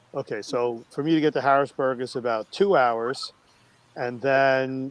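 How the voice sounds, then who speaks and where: A man with a Brooklyn accent speaks at a medium pitch. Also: dry, close sound with no echo. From New York (Brooklyn). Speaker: cooking live streamer. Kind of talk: casual chat.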